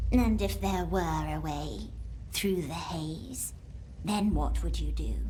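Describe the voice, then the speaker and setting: A put-on character voice moves at a fairly slow pace. Clear background noise runs behind it. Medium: machinima. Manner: curt, cold.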